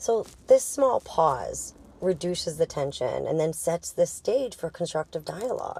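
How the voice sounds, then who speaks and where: A woman with a strong Boston accent, in a dry, close sound with no echo. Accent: heavy Boston. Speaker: sex and intimacy coach. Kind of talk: casual educational monologue. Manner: casual, conversational.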